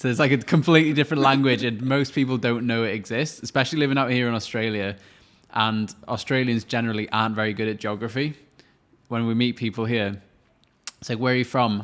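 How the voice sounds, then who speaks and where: Using a Welsh accent, a man speaks at a very fast pace with fairly even intonation. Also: medium pitch for a man. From Wales. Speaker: podcast co-host. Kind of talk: casual chat.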